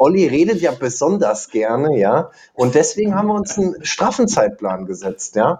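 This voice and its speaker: A man's fairly high-pitched voice with vocal fry, a dark, mellow tone, very wide pitch swings and a moderate pace. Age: 20s. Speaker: insurance digital expert and lecturer, podcast co-host. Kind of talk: casual chat.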